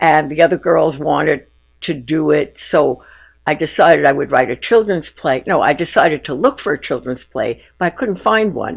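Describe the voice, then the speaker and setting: In a New York accent, the speaker delivers lively intonation at a moderate pace. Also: woman, very deep, low pitch for a woman. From Bronx, New York. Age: 80s+. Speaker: retired teacher and playwright. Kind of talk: interview answer.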